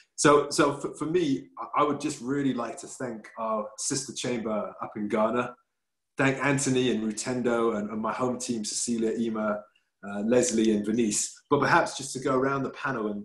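Against a quiet background, a man speaks at a medium pitch and moderate pace. His pitch varies in an ordinary way, and the room echo is audible. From England. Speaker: business chamber president, webinar host; webinar host. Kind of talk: webinar moderation. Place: home room. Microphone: video call.

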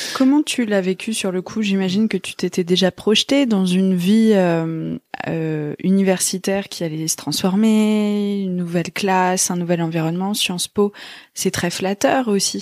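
A woman with a normal speaking voice talks at a fairly slow pace and medium pitch. Her pitch varies in an ordinary way, and the sound is dry and close with no echo. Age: 30s. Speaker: podcast host. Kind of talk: casual interview.

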